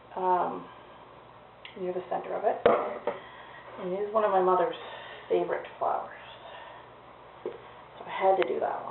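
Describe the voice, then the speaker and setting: With long, frequent pauses, a woman speaks at a moderate pace amid noticeable background noise and audible room echo. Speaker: soap maker. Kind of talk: tutorial. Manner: casual, chatty. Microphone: cheap old camera mic, very quiet.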